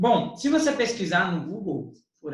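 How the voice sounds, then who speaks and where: A man at a moderate pace, with audible room echo. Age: young. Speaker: teacher. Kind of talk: educational podcast discussion.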